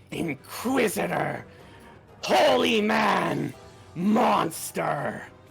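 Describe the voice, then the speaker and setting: With faint music in the background, a raspy put-on character voice at middle pitch speaks at a very slow pace. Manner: sinister.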